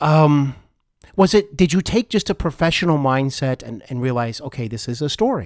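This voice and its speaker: In an unremarkable speaking voice, a man with a fairly high pitch talks at a moderate pace with lively intonation, captured as a dry, close sound with no echo on a very clean recording with a silent background. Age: 40s. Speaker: podcast host. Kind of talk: interview.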